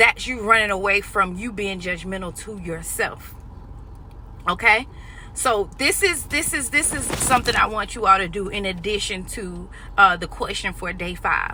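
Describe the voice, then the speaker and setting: A woman speaks in an excited tone with big swings in loudness. Noticeable background noise is present. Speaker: life coach. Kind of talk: motivational talk to camera. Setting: in a car. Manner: fast, excited, tongue-tied.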